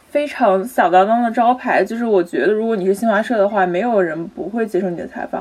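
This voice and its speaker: Talking very fast with hardly any pauses, a woman with a fairly high pitch uses ordinary pitch variation against noticeable background noise. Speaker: journalism graduate student. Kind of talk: casual panel discussion.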